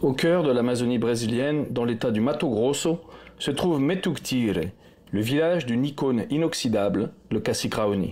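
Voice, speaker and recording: His tone dark and mellow, a man at a medium pitch talks at a moderate pace with lively intonation and very even loudness. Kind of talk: TV documentary report narration.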